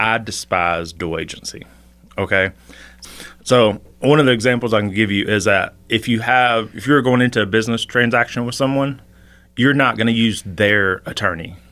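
This is a plain, everyday voice with ordinary pitch variation. The pace is moderate. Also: man. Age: 40s. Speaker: realtor. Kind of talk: casual interview. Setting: studio.

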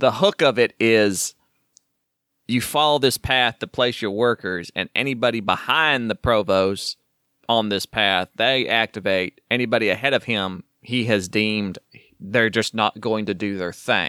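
The man has an Oklahoma accent and a bright, sharp tone at medium pitch. He speaks at a fairly slow pace with ordinary pitch variation. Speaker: podcast co-host. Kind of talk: casual chat. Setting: recording from home, remote.

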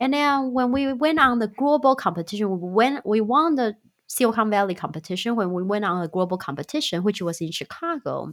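A woman talks at a fairly quick pace and a fairly high pitch, with very wide pitch swings and hardly any pauses. The recording is very clean, with a silent background. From Taiwan. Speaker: startup founder and CEO. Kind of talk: casual interview.

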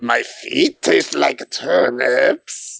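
A man puts on a character voice, extremely high in pitch. It sounds raspy. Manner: comic, silly.

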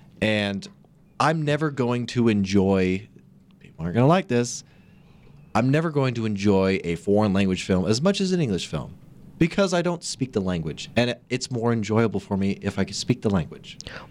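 A man talks with a normal speaking voice at medium pitch. His intonation is lively and his pace moderate. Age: 20s. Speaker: podcast co-host. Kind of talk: casual chat.

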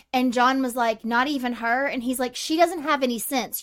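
A woman talks loudly at a moderate pace, her high pitch varying in an ordinary way. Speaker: podcast co-host. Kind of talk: casual chat. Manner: loud, excitable.

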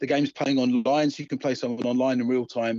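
With an Essex accent, a medium-pitched man talks at a fairly quick pace over a quiet background. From Essex, England. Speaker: video game designer. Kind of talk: interview. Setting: phone call.

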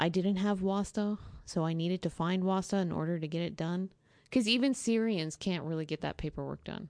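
A woman with a normal speaking voice and an American accent talks at a medium pitch and a fairly quick pace with ordinary pitch variation against a quiet background. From Texas. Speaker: American expatriate living in Syria. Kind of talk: interview.

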